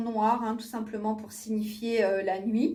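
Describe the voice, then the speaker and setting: Audible room echo surrounds a woman with a fairly high pitch. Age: 40s. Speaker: beauty vlogger. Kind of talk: product review vlog. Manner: hesitant, many fillers.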